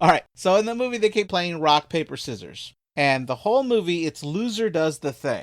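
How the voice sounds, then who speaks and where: On a very clean recording with a silent background, a man with an American accent talks at a fairly quick pace, his high pitch carrying lively intonation. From Texas. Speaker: horror movie podcast guest. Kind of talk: casual chat.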